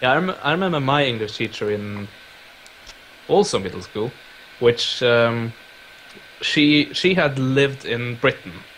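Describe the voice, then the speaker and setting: With a slight Scandinavian accent, the speaker uses lively intonation at a moderate pace, leaving long, frequent pauses over noticeable background noise. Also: man. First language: Scandinavian language. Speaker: YouTuber. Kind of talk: casual chat. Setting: live stream.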